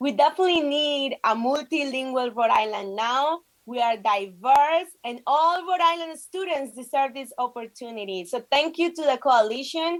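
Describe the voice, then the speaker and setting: A woman's high voice moves at a moderate pace with lively intonation. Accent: Spanish. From Colombia. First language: Spanish. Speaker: state legislator. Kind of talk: prepared speech at virtual press conference. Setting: video call.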